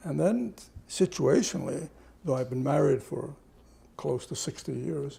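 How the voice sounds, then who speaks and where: A man's dark, mellow tone with vocal fry and very wide pitch swings. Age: 80s+. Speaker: anthropologist. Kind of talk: interview.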